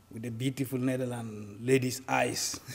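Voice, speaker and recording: At a moderate pace, a man with a Sudanese accent speaks at medium pitch. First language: Arabic. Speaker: refugee activist. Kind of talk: interview. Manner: halting.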